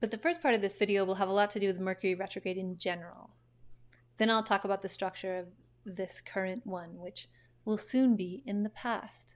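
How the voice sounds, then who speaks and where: Recorded very cleanly against a silent background, a woman with an unremarkable speaking voice talks at medium pitch and a fairly quick pace with fairly even intonation. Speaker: astrologer. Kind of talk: casual monologue to camera.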